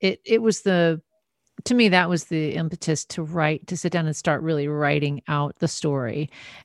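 A woman with an American accent speaks at a moderate pace against a quiet background, her pitch fairly low for a woman with ordinary variation. The sound is dry and close with no echo, and she has a plain, everyday voice. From US Midwest, North Dakota, then San Francisco Bay Area. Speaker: singer and author. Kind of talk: interview conversation.

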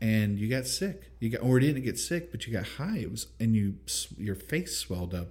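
This man's fairly low voice swings very widely in pitch, somewhat breathy, at a moderate pace with hardly any pauses. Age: 40s. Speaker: podcast host and father. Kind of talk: casual chat.

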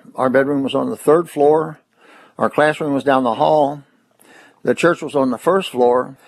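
Against a quiet background, a man with a fairly high pitch and a Kentucky accent talks at a moderate pace with fairly even intonation and long, frequent pauses. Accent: Kentucky, US South. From Kentucky, Corbin. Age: 80s+. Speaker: atheist activist. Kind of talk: interview.

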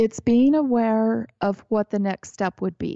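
A woman's dark, mellow voice at a fairly slow pace, with ordinary pitch variation, in a quiet background and a dry, close sound with no echo. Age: 50s. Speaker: entrepreneur and spiritual coach. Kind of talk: casual interview.

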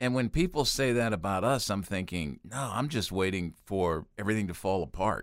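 A man with a plain, everyday voice speaks at a moderate pace and a fairly low pitch, with lively intonation and hardly any pauses. The recording is very clean, with a silent background. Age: 60s. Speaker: youth ministry organization president. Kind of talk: casual chat. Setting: studio.

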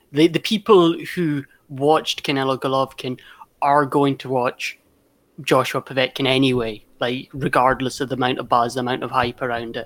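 Moderate-paced speech in a Glasgow accent. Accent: Scottish (Glasgow). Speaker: boxing pundit. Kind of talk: casual chat.

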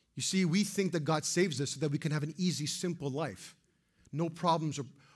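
On a very clean recording with a silent background, a man speaks very fast at a fairly high pitch. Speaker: pastor. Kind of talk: sermon. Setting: church. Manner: serious, intense.

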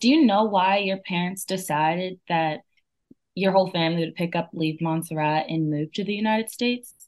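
Fairly quick in pace, the woman has an ordinary speaking voice with a medium pitch and ordinary pitch variation. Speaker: student interviewer. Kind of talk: interview.

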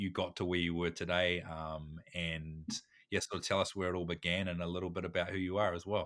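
A man speaks at a fairly quick pace with a very deep, low pitch and a bright, sharp tone. The recording is very clean, with a silent background. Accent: New Zealand. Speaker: podcast host. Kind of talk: casual interview. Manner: halting.

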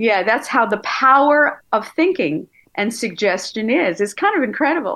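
This woman's bright, sharp tone rides very wide pitch swings at very even loudness, with an American accent. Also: fairly high pitch for a woman, moderate pace. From New York, Long Island. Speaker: therapist and hypnotherapist. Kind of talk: interview.

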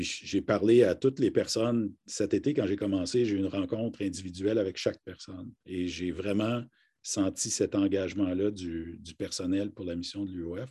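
Speaking at a moderate pace against a quiet background, a man uses a fairly low pitch and fairly even intonation. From northern Ontario, near Kapuskasing. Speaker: university rector. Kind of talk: live interview. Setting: video call. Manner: hesitant, frequent fillers and repetitions.

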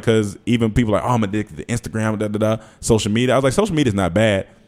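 A man speaks with an American accent at a fairly low pitch. He has a plain, everyday voice with ordinary pitch variation. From North Carolina. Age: 30s. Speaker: comedian and YouTube creator. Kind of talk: casual interview.

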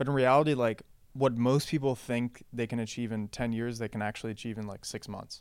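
A man with an American accent has an unremarkable speaking voice at a medium pitch. His intonation is fairly even and his pace fairly quick. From international, US and Western Europe. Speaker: startup co-founder. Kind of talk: interview. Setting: office.

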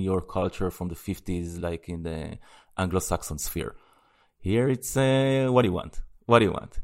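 A man's very deep, low voice in an Israeli accent, ordinary pitch variation, very clean recording with a silent background. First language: Hebrew. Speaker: podcast co-host. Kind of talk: casual chat.

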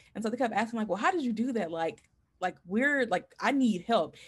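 An unremarkable speaking voice from a woman, fairly high in pitch, with lively intonation. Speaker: former teacher, doctoral student. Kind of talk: casual interview.

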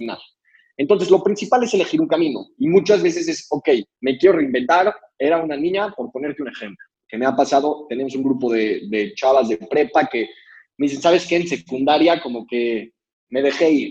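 With an ordinary speaking voice, a man talks fairly quickly at a fairly high pitch, with lively intonation and big swings in loudness. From Mexico City. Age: 20s. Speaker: social entrepreneur. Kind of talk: motivational talk.

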